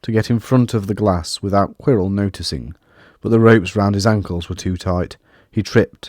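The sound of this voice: A reading voice that is unforced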